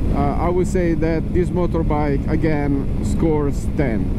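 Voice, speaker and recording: The speech comes at a fairly slow pace, dry with no echo. Loud background noise runs underneath. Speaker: motorbike rider reviewer. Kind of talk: commentary. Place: motorbike. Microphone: helmet.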